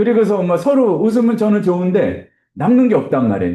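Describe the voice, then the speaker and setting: A man's voice sits at a high pitch, with a dark, mellow tone. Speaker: instructor teaching Bible software. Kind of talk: lecture.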